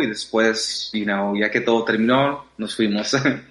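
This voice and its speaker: A man with a bright, sharp tone talks fairly slowly. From Mexico, raised in US from age six. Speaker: dancer. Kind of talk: interview. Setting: remote call. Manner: hesitant with many fillers.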